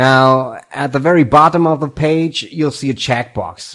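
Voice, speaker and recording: Here a man speaks with a non-native accent. His pitch variation is ordinary. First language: not English. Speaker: tutorial host. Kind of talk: tutorial.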